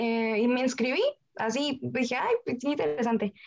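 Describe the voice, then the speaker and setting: This woman's voice sits high in pitch, with ordinary pitch variation. She talks at a moderate pace. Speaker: engineering student. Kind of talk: interview.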